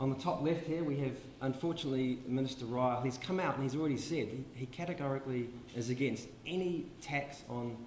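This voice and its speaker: Audible room echo and light background noise surround a man in a New Zealand accent whose pitch varies in an ordinary way. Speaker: public health dentist; presenter. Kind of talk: conference talk. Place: hall. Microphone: handheld.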